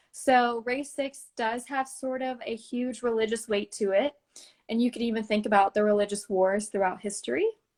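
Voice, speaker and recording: At a moderate pace, a woman with a normal speaking voice talks in a fairly high pitch with fairly even intonation. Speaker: esoteric healing practitioner. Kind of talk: interview explaining healing practice.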